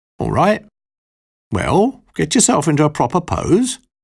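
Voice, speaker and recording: A man puts on a gruff character voice pitched high. He keeps a moderate pace. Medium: read story. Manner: gruff, curt, grumbling.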